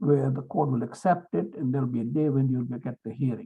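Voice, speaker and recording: A man is speaking. He has a non-native accent. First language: not English. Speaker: lawyer and legal mentor. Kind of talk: seminar talk.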